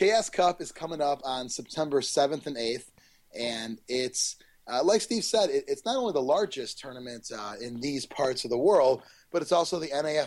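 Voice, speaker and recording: A man with an ordinary speaking voice talks at a moderate pace. His pitch is fairly high. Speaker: tournament organizer guest. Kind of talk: casual interview.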